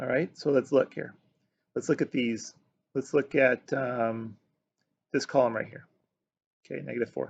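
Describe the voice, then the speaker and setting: Vocal fry runs through this man's medium-pitched voice, which has big swings in loudness and long, frequent pauses. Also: fairly even intonation, moderate pace, dry, close sound with no echo, quiet background. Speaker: math teacher. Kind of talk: video lesson.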